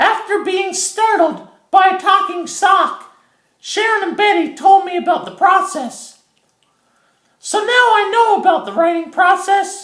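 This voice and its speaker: In a cartoonish character voice pitched extremely high, the speaker keeps a moderate pace. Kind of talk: educational puppet monologue. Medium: puppet show. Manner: chatty, earnest, comic.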